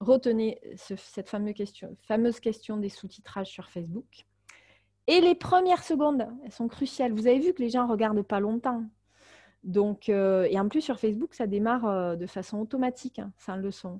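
Her dark, mellow, somewhat breathy voice sits fairly high for a woman, with lively intonation, big swings in loudness and a moderate pace, in a dry, close sound with no echo. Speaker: marketing consultant and webinar trainer. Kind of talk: webinar tutorial. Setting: online webinar. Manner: many filler hesitations.

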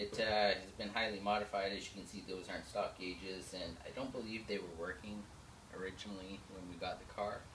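Against noticeable background noise, a man speaks at a fairly quick pace in a fairly low pitch with monotone, flat intonation. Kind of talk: casual project vlog explanation. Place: garage. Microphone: camera far.

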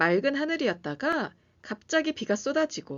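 Fairly high-pitched woman's voice with vocal fry, very wide pitch swings and a fairly slow pace. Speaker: pianist and music educator. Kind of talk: lecture. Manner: formal.

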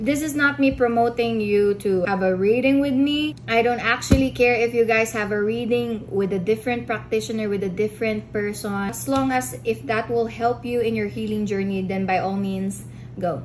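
With few pauses, a woman speaks at a fairly high pitch and ordinary pitch variation against clear background noise. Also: moderate pace.

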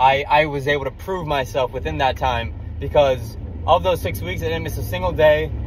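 A man's voice with light background noise and a dry sound with no echo. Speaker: vlogger. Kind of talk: casual vlog chat. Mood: excited, grateful. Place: car. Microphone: phone near.

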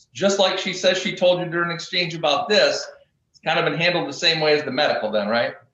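A man with a high pitch and an American accent at a very fast pace, with audible room echo and light background noise. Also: ordinary pitch variation. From US Midwest. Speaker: lawyer. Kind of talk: witness examination. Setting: video call. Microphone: video call.

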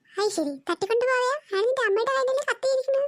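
A cartoonish character voice from a woman, squeaky and extremely high-pitched, at a very fast pace. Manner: bossy, exclamatory.

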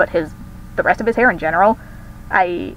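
Music plays behind a woman speaking at a fairly quick pace. Her pitch sits in the medium range. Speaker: digital artist. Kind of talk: casual voice-over commentary on a speedpaint video. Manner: chatty, rambling.

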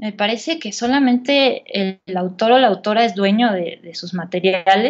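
A woman with a fairly high pitch speaks at a fairly slow pace with ordinary pitch variation. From rural central Mexico, Estado de México–Querétaro border. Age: 30s. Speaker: writer and journalist. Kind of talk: interview conversation. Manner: hesitant with fillers and repetitions.

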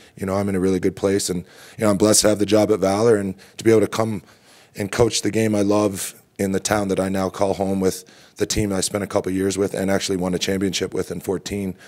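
Over a quiet background, a man talks at a very fast pace. His pitch is fairly low and his intonation monotone and flat. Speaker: lacrosse coach. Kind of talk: interview answer. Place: hall. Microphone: podium.

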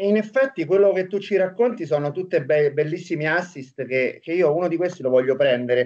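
Over a quiet background, a man with a high pitch and lively intonation talks at a fairly quick pace with hardly any pauses. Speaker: basketball coach and co-host. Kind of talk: interview. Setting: video call. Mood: joking, playful. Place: home room. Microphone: video call.

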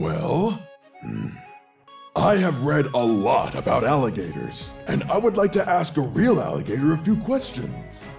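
A put-on character voice speaks at a moderate pace over faint background music. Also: man, fairly high pitch for a man. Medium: dub. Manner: polite, inquisitive.

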